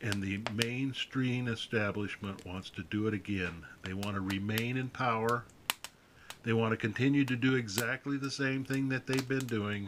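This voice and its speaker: A man speaks at a moderate pace with fairly even intonation and medium pitch. He has an unremarkable speaking voice. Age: 60s. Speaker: political commentator. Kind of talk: political monologue video. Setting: outdoors by a fire. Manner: folksy.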